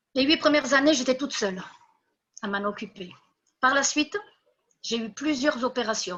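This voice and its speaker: A woman talks in a high, bright, sharp voice with lively intonation. Her speech has long, frequent pauses. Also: moderate pace. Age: 60s. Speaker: horse breeder. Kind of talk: testimony.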